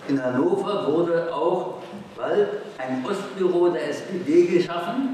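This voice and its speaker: A high-pitched male voice with strong room echo and light background noise. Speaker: communist activist and historian. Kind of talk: political speech at a congress. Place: hall.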